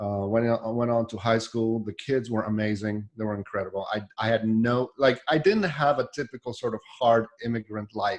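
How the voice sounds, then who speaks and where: Speaking in a Polish accent, a man uses a medium pitch and fairly even intonation at a moderate pace. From Poland. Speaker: software developer. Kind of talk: casual chat. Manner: halting.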